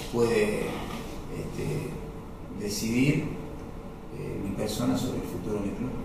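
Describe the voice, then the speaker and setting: A man is speaking. There is noticeable background noise and strong room echo. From Salta, northwestern Argentina. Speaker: footballer. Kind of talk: interview. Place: office.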